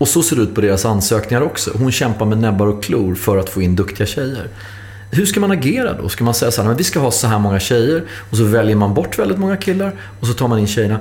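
Over noticeable background noise and audible room echo, a man talks at a very fast pace with lively intonation. His voice is medium in pitch and very even in loudness. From Stockholm. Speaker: podcast host. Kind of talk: interview.

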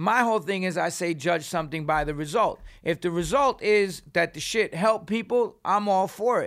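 With a New York accent and a high pitch, a man speaks at a moderate pace with ordinary pitch variation and hardly any pauses, in a very clean recording with a silent background. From New York City. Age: 50s. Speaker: punk singer and author. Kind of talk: casual chat. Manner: animated.

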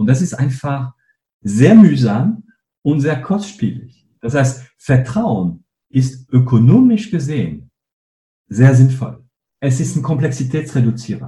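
Vocal fry runs through this man's medium-pitched voice. His tone is dark and mellow, and he speaks at a fairly slow pace. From northern France. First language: French (speaking German). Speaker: company co-founder and CEO. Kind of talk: interview.

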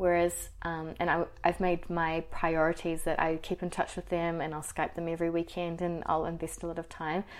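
Speaking with a New Zealand accent, a woman uses a fairly low pitch and monotone, flat intonation at a moderate pace. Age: 20s. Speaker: HR professional and YouTuber. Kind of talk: interview.

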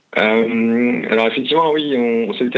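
A man's voice over noticeable background noise. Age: 30s. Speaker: motorcycle traveler. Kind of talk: interview. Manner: halting.

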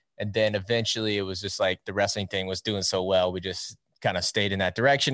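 A man with a US Midwestern accent talks fairly quickly in a fairly low voice, the sound dry and close with no echo and a quiet background. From Iowa, US Midwest. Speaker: wrestling YouTuber and show host. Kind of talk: casual interview chat.

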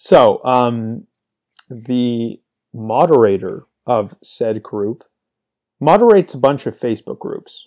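Over a quiet background, a man with a medium pitch and a dark, mellow tone speaks very slowly with long, frequent pauses, lively intonation and big swings in loudness. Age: 20s. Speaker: fantasy sports podcast host. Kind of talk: solo casual monologue. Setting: talking into a microphone. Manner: off the cuff, unscripted.

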